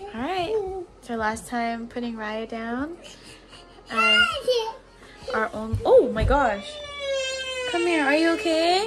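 A woman at a very slow pace, with long, frequent pauses and clear music in the background. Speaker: expectant mother vlogger. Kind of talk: casual vlog chat. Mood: emotional, anticipating birth. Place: home room. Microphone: phone near.

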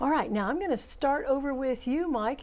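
Ordinary pitch variation from a woman speaking at a fairly quick pace. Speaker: horticulture instructor and show host. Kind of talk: call-in gardening show. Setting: studio. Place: studio. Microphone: lapel.

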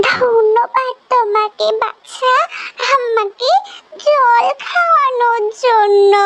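In a cartoonish character voice, the speaker goes at a very slow pace with fairly even intonation. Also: woman, extremely high pitch for a woman. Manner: soft, humble, motherly.

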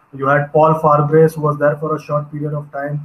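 At a moderate pace, a man talks in monotone, flat intonation. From India. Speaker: cricket journalist and YouTuber. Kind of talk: panel discussion. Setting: video call. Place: home room. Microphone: video call.

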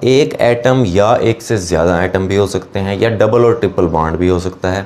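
Speaking fairly slowly, a man delivers his words. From Pakistan. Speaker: chemistry teacher. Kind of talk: lecture. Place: classroom. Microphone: lapel.

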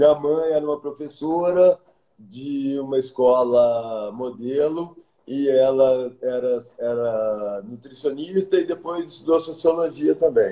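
A man's fairly high, dark and mellow voice at a very slow pace, with ordinary pitch variation and audible room echo. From Minas Gerais, Brazil (Pedro Leopoldo); Minas Gerais, Brazil. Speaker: architect; interviewee. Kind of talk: interview. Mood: warm, reflective. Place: home room. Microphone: video call.

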